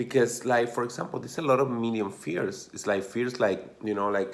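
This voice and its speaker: A man with an Argentine accent, at a moderate pace and with ordinary pitch variation. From Argentina, Mendoza. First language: Spanish. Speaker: dancer and motivational vlogger. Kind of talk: motivational talk to camera. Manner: casual, filler-heavy.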